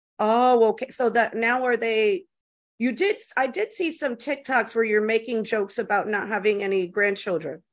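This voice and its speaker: Speaking at a moderate pace, a woman with a normal speaking voice uses a fairly high pitch with ordinary pitch variation. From US, Cuban and Puerto Rican family. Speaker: podcast host. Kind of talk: casual interview chat. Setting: podcast recording.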